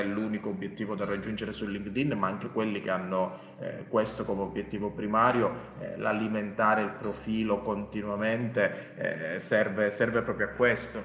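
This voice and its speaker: With noticeable background noise, a man talks at a fairly quick pace in a fairly low voice. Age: 30s. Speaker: LinkedIn expert and author. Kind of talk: casual interview. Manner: halting, many repetitions.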